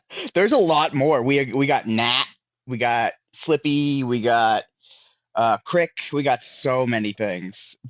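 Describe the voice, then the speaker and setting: A man with a Pittsburgh accent at a fairly slow pace. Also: medium pitch for a man, ordinary pitch variation. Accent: mild Pittsburgh. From Pittsburgh, US. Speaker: indie wrestler. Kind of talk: casual chat.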